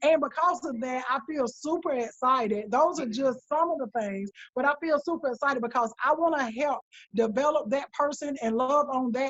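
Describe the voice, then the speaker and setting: Her tone is animated as a woman talks at a moderate pace. She speaks with a high pitch. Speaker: director of nursing. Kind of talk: casual interview chat.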